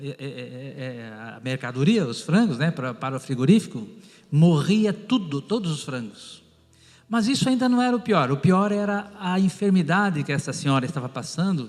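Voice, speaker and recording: With music in the background, a man with a fairly high pitch speaks with very wide pitch swings and big swings in loudness. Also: moderate pace. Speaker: pastor and former pharmacist. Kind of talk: testimony.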